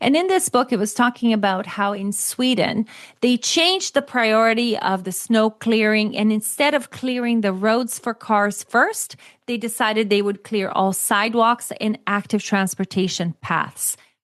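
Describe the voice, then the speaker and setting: With a Brazilian accent, a woman speaks at a moderate pace in a fairly high voice with ordinary pitch variation, the sound dry and close with no echo. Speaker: author and cycling advocate. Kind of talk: interview conversation.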